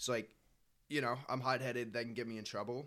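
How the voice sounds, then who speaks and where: On a very clean recording with a silent background, a man speaks at a fairly quick pace with a medium pitch and a bright, sharp tone. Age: 20s. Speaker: gym-goer. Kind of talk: casual chat.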